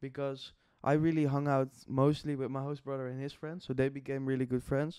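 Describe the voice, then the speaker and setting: A man speaks with a non-native accent in a dark, mellow tone and fairly high pitch. His intonation is flat and monotone at a fairly quick pace. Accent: foreign. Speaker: podcast host. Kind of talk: casual chat.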